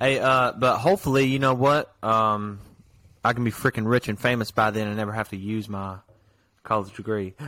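A man speaks in an ordinary speaking voice at a medium pitch and a fairly quick pace, with fairly even intonation. The recording is very clean with a silent background. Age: 19. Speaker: podcast co-host. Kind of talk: casual chat.

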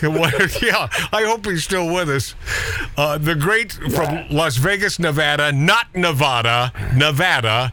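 Against noticeable background noise, a man with a fairly high pitch and lively intonation talks at a fairly slow pace. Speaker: radio host. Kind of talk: casual banter interview. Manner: joking, animated.

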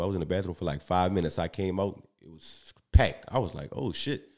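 In a New Orleans accent, a man with a very deep, low pitch talks at a very fast pace on a very clean recording with a silent background. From US South, New Orleans. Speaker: comedian. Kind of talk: casual chat. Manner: even, smooth delivery.

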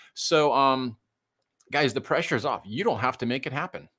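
On a very clean recording with a silent background, a man with a Midwestern American accent speaks at a medium pitch in a bright, sharp tone. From US Midwest, suburban Detroit. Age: 50s. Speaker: pastor. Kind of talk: casual chat. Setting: live show.

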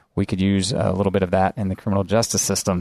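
A man talks at a very fast pace with a fairly low pitch. The sound is dry and close with no echo, and the background is quiet. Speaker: podcast host. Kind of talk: interview with ad read. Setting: studio.

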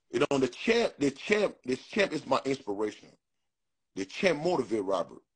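A man speaks in an animated tone at a fairly high pitch. His voice is somewhat breathy, with very wide pitch swings. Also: moderate pace. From Africa. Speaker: bodybuilder and influencer. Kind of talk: interview.

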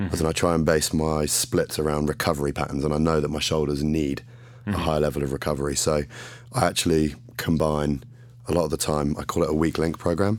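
This man talks at a very fast pace in an English accent. His pitch is very deep and low, with fairly even intonation. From England. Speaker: fitness model and bodybuilding champion. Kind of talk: casual interview chat.

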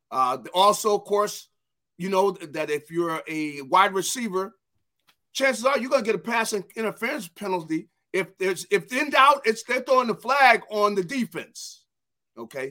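A raised, projected voice with a bright, sharp tone and lively intonation moves at a moderate pace. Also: man, high pitch for a man. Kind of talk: casual sports chat.

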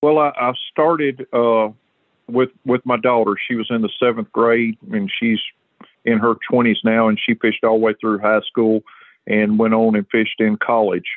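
A man with an ordinary speaking voice talks at a moderate pace and a medium pitch, his loudness very even and his intonation fairly even. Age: 40s. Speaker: high school fishing tournament director. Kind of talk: interview.

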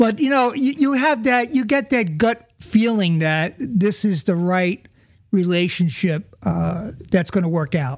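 Speaking at a fairly slow pace in a playful tone, a man with a high voice swings his pitch very widely while keeping his loudness very even. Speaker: podcast host, woodworker. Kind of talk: casual banter. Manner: joking, playful.

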